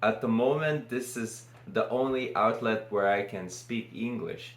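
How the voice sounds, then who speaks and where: A man with a Lithuanian accent speaks at a fairly slow pace with ordinary pitch variation, and the room echo is audible. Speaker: vlogger. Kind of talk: casual unscripted monologue. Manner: halting.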